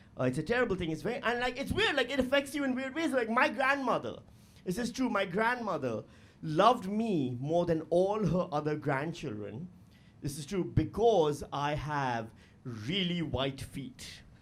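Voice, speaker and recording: With audible room echo, a man speaks at a moderate pace in an animated tone, his high pitch making very wide swings. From Pakistan, Karachi. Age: 40s. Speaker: stand-up comedian. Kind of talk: stand-up. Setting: stage with audience.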